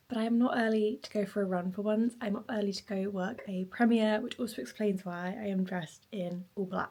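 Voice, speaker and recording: A woman speaks quietly at a medium pitch and a fairly quick pace, with ordinary pitch variation, on a very clean recording with a silent background. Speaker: vlogger. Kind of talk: casual vlog talk to camera. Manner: speaking quietly.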